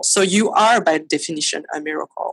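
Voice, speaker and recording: A woman with a French accent, fairly low in pitch, at a moderate pace with ordinary pitch variation, in a dry, close sound with no echo. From France, Paris. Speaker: photographer. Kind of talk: interview. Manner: halting.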